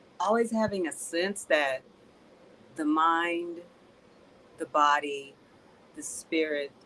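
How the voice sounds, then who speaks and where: A soft-spoken woman talks at a very slow pace in a fairly low voice. Her speech has long, frequent pauses. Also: ordinary pitch variation. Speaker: student. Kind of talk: testimony.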